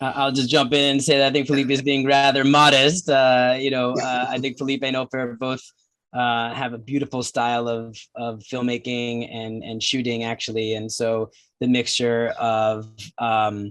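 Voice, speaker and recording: The delivery comes at a moderate pace in a monotone, flat intonation. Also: man, medium pitch for a man. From New Jersey, US. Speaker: documentary filmmaker. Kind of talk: film Q&A.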